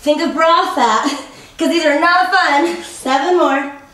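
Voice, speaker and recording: A woman's high-pitched, upbeat, playful voice at a very slow pace, with audible room echo. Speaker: fitness instructor. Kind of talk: guided workout instruction, counting reps aloud while coaching through planks. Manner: upbeat, encouraging coach with playful pushy quips; rhythmic counting, brisk directive cues. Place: home room.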